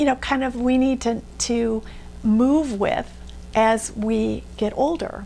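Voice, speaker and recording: Very slow speech from a woman, with noticeable noise behind it. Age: 60s. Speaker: beauty vlogger. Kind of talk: tutorial. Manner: casual, conversational with fillers.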